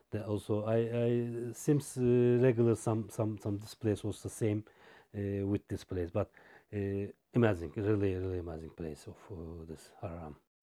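A man's fairly low voice with a dark, mellow tone at a moderate pace, captured in a very clean recording with a silent background. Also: ordinary pitch variation, big swings in loudness. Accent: Turkish. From Turkey. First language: Turkish. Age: 40s. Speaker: logistics manager. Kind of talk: interview. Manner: halting.

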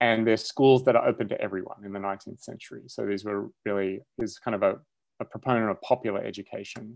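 With an Australian accent, a man talks at a very fast pace in a fairly low pitch, his intonation fairly even but his loudness swinging widely, the sound dry and close with no echo over a quiet background. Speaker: philosophy professor. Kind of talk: casual chat.

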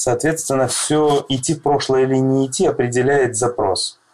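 A man with a plain, everyday voice speaks at medium pitch and a fairly slow pace. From Russia, Krasnodar. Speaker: psychologist. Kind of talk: interview.

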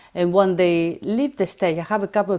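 In an Argentine accent, a woman speaks at a moderate pace with ordinary pitch variation. The recording is very clean, with a silent background. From Argentina, Buenos Aires. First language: Spanish. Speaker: former dancer and photographer. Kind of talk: interview. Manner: halting.

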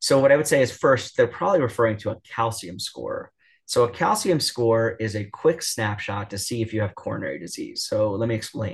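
The speaker has an American accent, a somewhat breathy voice and lively intonation. The pace is fairly quick and the background is quiet. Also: man, medium pitch for a man. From New York. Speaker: cardiologist. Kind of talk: interview. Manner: filler-heavy, many ums and restarts.

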